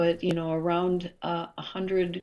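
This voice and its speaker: A woman with an American accent talks at a fairly slow pace, her pitch fairly low. It is a plain, everyday voice. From Minnesota, Twin Cities. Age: 60s. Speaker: health coach. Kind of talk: interview conversation.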